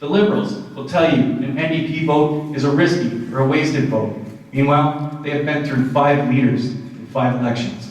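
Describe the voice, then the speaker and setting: With a Canadian accent, a man speaks at a moderate pace and fairly high pitch with ordinary pitch variation, amid audible room echo and noticeable background noise. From southwestern Ontario, Canada. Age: 30s. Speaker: political candidate. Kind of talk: campaign speech at debate. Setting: community centre with audience.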